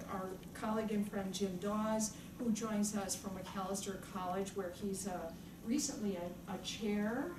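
Noticeable background noise runs under this recording. A woman speaks at a fairly slow pace. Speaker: panel moderator. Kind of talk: speaker introductions at an academic panel. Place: meeting room. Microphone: camera far.

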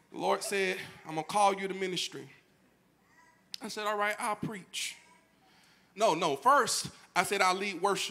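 A man with a raised, projected voice and a high pitch speaks at a moderate pace, his animated delivery bright and sharp in tone, with ordinary pitch variation and long, frequent pauses. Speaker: pastor. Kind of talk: sermon. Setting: church. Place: church. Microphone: handheld.

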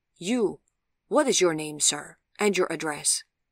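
A put-on character voice with lively intonation at a fairly slow pace, in a dry, close sound with no echo. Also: woman, low pitch for a woman.

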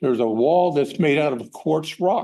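His tone dark and mellow, a man with a fairly high voice speaks with lively intonation. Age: 70s. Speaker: public commenter at city council meeting. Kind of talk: public comment. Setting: city council meeting.

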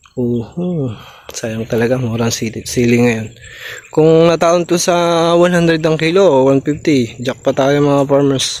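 Speaking very slowly, a man uses a fairly high pitch and ordinary pitch variation. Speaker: farmer and vlogger. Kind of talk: casual vlog narration.

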